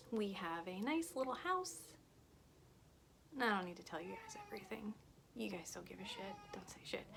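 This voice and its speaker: Audible room echo hangs around the voice. The woman's pitch is medium. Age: 30s. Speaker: food reviewer. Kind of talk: casual snack review vlog. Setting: at home, son's room. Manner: casual, chatty.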